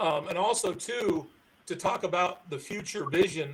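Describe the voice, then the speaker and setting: A man speaks at a moderate pace with fairly even intonation. There is noticeable noise behind him. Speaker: professional society board leader and conference speaker. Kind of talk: live-stream interview.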